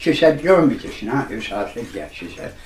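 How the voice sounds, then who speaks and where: Over noticeable background noise and audible room echo, a man with an East Midlands accent speaks at a fairly high pitch, his voice making very wide pitch swings. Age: 80s+. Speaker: magician. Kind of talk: casual chat.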